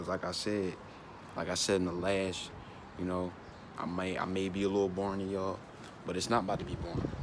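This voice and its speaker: Despite long, frequent pauses, a man with a very deep, low pitch talks at a very fast pace in monotone, flat intonation over noticeable background noise. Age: young. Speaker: vlogger. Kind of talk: casual vlog monologue. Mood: reflective, earnest. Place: street. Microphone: earbuds.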